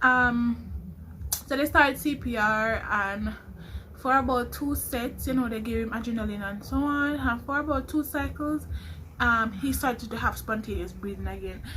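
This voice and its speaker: A woman at a moderate pace, with audible room echo. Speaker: nursing student vlogger. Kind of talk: vlog storytelling.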